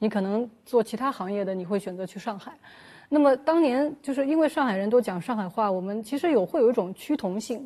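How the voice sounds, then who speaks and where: A woman with a fairly high voice talks at a fairly quick pace. Her tone is dark and mellow, with lively intonation. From Shanghai. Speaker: journalist. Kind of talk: casual chat.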